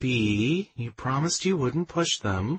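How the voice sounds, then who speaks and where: A man puts on a breathy character voice with very wide pitch swings. He talks at a fairly slow pace and a medium pitch. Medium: read story. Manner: warm, teasing.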